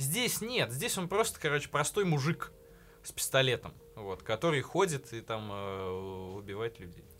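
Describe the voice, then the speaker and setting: At a moderate pace, a man with a medium-pitched voice makes very wide pitch swings and big swings in loudness, leaving long, frequent pauses. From provincial Russia. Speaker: podcast host. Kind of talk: casual chat. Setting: studio.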